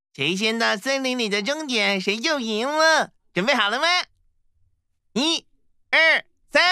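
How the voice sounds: A cartoonish character voice with a fairly high pitch. It moves at a moderate pace, broken by long, frequent pauses.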